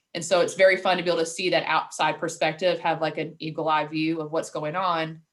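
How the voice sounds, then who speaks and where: A woman with a Louisville accent speaks at a very fast pace in a fairly low, monotone, flat voice, with hardly any pauses. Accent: Louisville twang. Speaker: marketing director. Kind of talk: casual interview chat.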